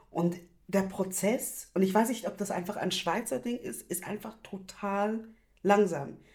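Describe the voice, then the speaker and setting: A woman talks at a fairly slow pace, her voice somewhat breathy. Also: medium pitch for a woman, ordinary pitch variation. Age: 30s. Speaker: activist. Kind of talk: casual chat. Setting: video call.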